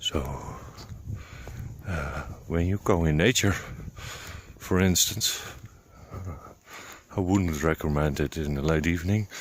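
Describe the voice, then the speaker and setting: The speaker has a Dutch accent and uses ordinary pitch variation. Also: man. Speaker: vlogger on high sensitivity. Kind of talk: casual solo vlog talk. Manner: halting, many fillers.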